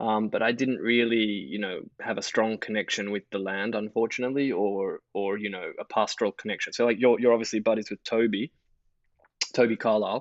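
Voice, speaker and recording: At a fairly quick pace, a man with an Australian accent talks at a medium pitch with fairly even intonation. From Australia, Sydney. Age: 30s. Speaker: investor. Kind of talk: casual chat.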